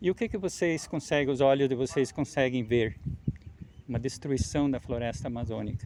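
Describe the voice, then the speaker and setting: A man speaks at a medium pitch and moderate pace. His pitch varies in an ordinary way. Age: 60s. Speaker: farmer. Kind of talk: field interview testimony. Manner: halting.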